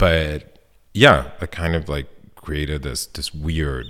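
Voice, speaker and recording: A man talks at a very slow pace with a very deep, low pitch. Vocal fry runs through his voice. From northern Italy, Milan. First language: Italian. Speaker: sculptor and installation artist. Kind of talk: casual interview.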